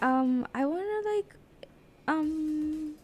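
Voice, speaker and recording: Music plays behind a woman whose voice is shaky. Her intonation is lively. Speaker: radio host trainee. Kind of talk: live radio practice chat. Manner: shaky, hesitant.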